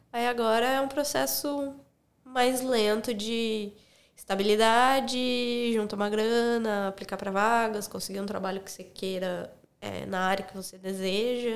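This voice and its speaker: In a room with audible echo, a woman speaks at a fairly slow pace and fairly high pitch, her pitch varying in an ordinary way while her loudness swings widely. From interior of São Paulo state, Brazil. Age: 30s. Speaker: former travel agent, travel content creator. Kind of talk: casual interview chat.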